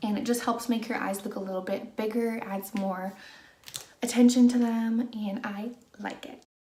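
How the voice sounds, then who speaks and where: A soft-spoken woman talks at a moderate pace in a fairly high pitch, with monotone, flat intonation. Her loudness swings widely, and audible room echo surrounds her voice. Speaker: beauty vlogger. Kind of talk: chatty makeup tutorial. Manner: soft-spoken, normal conversational volume.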